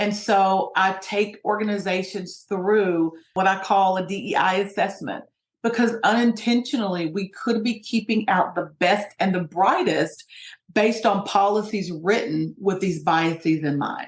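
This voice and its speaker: A woman with an ordinary speaking voice talks at a fairly slow pace. Her pitch is medium and her intonation fairly even. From US, Appalachian Kentucky (Hazard). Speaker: sociologist and diversity trainer. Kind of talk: interview.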